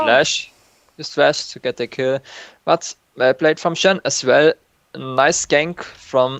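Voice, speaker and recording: A man with a non-native accent, fairly high in pitch, at a fairly slow pace with ordinary pitch variation and long, frequent pauses. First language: not English. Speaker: novice shoutcaster. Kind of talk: live game commentary. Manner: hesitant, non-native English.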